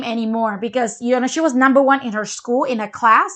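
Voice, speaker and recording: A woman's high-pitched voice in a bright, sharp tone, with a non-native accent, on a very clean recording with a silent background. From Malaysia. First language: not English. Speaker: parenting show co-host. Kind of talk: casual chat.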